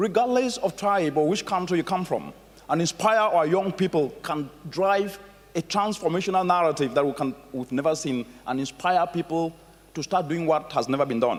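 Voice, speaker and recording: A man with an African accent talks at a moderate pace in a high voice with ordinary pitch variation. Noticeable background noise is present. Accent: African accent, proud of it. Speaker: conference keynote speaker. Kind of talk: keynote speech. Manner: animated.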